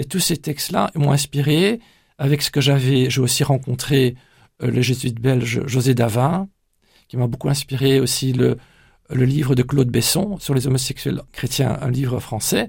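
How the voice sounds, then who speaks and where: At a fairly slow pace, the somewhat breathy voice shows ordinary pitch variation. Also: man, medium pitch for a man. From Brussels, Belgium (Flemish parents). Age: 60s. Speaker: church pastoral coordinator. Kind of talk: radio interview. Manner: halting, frequent hesitations.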